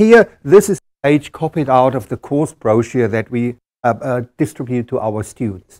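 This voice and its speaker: A man with a German accent at a moderate pace, in a dry, close sound with no echo. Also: medium pitch for a man. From Germany. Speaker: engineering professor. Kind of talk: conference presentation. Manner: halting.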